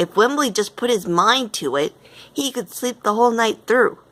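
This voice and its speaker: Putting on a character voice, a woman speaks at a moderate pace with a fairly high pitch and lively intonation. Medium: read story. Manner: reasonable, assured.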